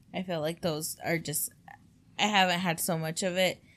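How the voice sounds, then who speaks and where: With vocal fry and a fairly low pitch, a woman speaks at a fairly slow pace in fairly even intonation. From Mexican-American background. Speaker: podcast co-host. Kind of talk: casual chat.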